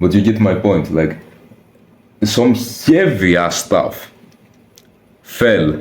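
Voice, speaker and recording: In a very slow delivery with long, frequent pauses, a man with a non-native accent uses lively intonation at a fairly low pitch, his loudness very even and audible room echo in the background. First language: not English. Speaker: youtuber, personal vlogger. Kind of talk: casual personal storytelling to camera. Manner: casual, slangy with hesitations and restarts.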